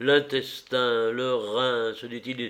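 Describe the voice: The clip is plain reading aloud. Nothing more than that is heard.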